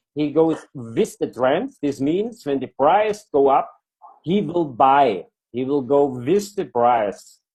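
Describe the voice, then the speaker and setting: A very slow delivery in a non-native accent, with lively intonation. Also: man, fairly high pitch for a man. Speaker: product presenter. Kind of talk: online presentation. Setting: video call with screen share. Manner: halting.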